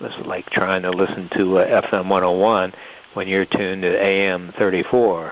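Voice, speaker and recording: Over noticeable background noise, a man talks at a moderate pace in a very deep, low pitch. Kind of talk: interview answer.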